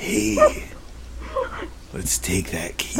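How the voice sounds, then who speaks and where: A man speaks in a put-on character voice pitched very deep and low, with clear background noise behind him. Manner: creepy.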